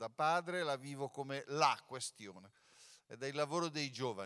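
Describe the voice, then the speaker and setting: A man speaks at a moderate pace with a bright, sharp tone against a quiet background. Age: 60s. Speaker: former artistic director, jury president; theatre actor speaking at press event. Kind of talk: press conference speech. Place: stage. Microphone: handheld.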